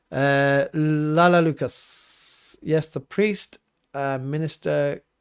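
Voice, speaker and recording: A man speaks with an English accent. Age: 40s. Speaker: vicar. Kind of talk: livestream Q&A. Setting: home livestream. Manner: casual, hesitant with fillers.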